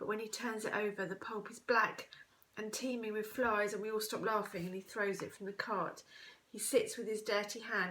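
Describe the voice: Someone is doing plain reading aloud here.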